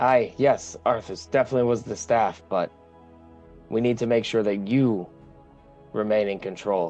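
A man does a gruff put-on character voice at a medium pitch and a moderate pace, with long, frequent pauses. Faint music plays in the background. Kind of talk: tabletop roleplay in character. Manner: gruff, blunt, says "aye".

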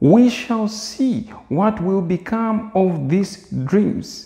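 A man speaks at a very slow pace with a high pitch. His pitch variation is ordinary, and the background is quiet. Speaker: preacher. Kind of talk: scripture reading. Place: home room. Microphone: lapel.

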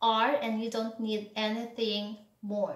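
A woman with a non-native accent talks in a fairly high pitch. The background is quiet, though some room echo is audible. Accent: non-native English speaker. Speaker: English tutor. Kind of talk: English lesson to camera. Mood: acts out emotions. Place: home room.

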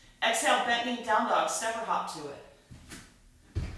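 Strong room echo surrounds a woman speaking at a fairly high pitch. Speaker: yoga instructor. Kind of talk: guided yoga class, live online. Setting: online live class with music playing. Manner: calm, flowing, cueing poses in a steady soothing rhythm; warm and inviting, greeting students. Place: home room.

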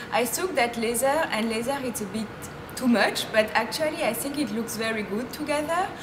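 A woman's fairly high voice with a French accent and lively intonation, over noticeable background noise. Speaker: fashion blogger. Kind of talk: casual talk to camera. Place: street. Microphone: camera far.

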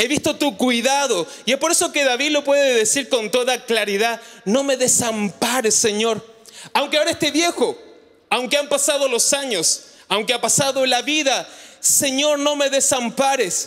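In an animated tone with an extremely high pitch, a man speaks at a moderate pace with ordinary pitch variation and very even loudness over a quiet background. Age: 40s. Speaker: pastor. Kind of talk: sermon. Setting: church. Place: church. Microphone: handheld.

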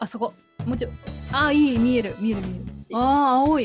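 Over clear background music, a woman talks fairly fast. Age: 30s. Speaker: voice actor. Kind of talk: casual variety show talk. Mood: cheerful, playful. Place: home room. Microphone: camera far.

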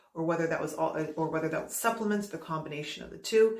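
A woman's fairly low voice with ordinary pitch variation and audible room echo. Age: 30s. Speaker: YouTuber reviewing hair loss products. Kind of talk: casual vlog monologue. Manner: halting, with repetitions. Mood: candid, mildly disappointed. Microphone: phone near.

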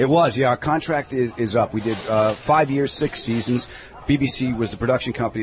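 A man with a New York accent at a very fast pace, ordinary pitch variation, a dry sound with no echo, and light background noise. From New York (Long Island). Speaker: comedian. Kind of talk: casual interview chat. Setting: in a deli. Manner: animated. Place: cafe.

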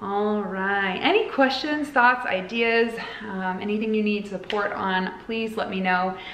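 At a fairly slow pace, the voice has a warm, upbeat tone and ordinary pitch variation, with audible room echo and light background noise. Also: woman. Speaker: spiritual guide and oracle card reader. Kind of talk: guided meditation. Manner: slow, soothing, calm and gentle with long pauses; warm, upbeat and chatty in the intro. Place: home room. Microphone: phone near.

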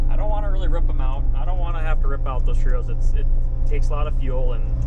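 A man talks at a very fast pace over loud background noise, the sound dry with no echo. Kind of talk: casual vlog chat. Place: farm machine. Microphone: phone near.

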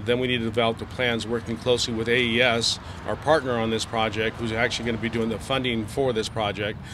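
A man talks at a very fast pace with hardly any pauses and a monotone, flat intonation, his voice dry with no echo over noticeable background noise. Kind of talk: interview answer. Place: street.

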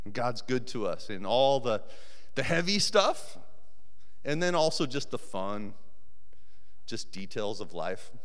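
An American-accented man at a medium pitch, with very wide pitch swings and long, frequent pauses, against a quiet background. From Colorado. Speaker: volunteer preacher. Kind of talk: sermon. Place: church. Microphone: handheld.

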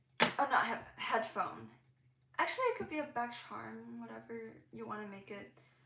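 Against loud background noise, a woman speaks at a moderate pace with long, frequent pauses and big swings in loudness. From Hong Kong. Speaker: crochet content creator. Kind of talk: casual livestream chat. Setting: home livestream. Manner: animated. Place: home room. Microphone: phone near.

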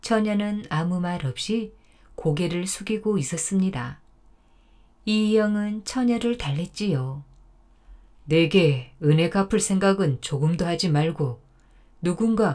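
Dark and mellow in tone, the voice moves at a very slow pace with lively intonation and long, frequent pauses. The recording is very clean, with a silent background. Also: woman. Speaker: storyteller. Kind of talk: folk tale narration.

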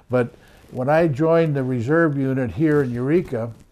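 A man's dark, mellow tone with ordinary pitch variation over a quiet background. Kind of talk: interview answer. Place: office.

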